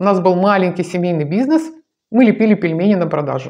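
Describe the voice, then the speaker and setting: Against a quiet background, a woman talks very fast at a medium pitch, her tone warm and animated and her intonation lively. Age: 60s. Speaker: video blogger on dance and healthy ageing; lifestyle blogger. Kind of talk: direct-to-camera monologue. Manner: warm, animated address to viewers. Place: home room. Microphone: lapel.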